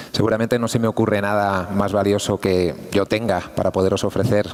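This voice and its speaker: A man speaks at a fairly low pitch in a monotone, flat intonation. Noticeable background noise is present. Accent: European Spanish. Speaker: engineer and conference speaker. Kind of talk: conference talk. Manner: fast.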